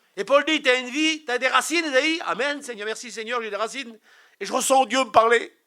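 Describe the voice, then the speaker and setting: With an extremely high pitch, a man speaks at a fairly quick pace in a bright, sharp tone and ordinary pitch variation. His voice is raised and projected, with big swings in loudness. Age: 60s. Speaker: preacher. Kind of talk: sermon. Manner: animated.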